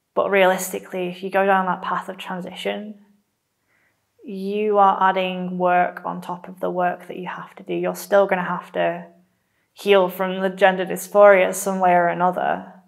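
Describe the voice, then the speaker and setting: Keeping a moderate pace, a woman talks with monotone, flat intonation and big swings in loudness. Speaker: theology student. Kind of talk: testimony.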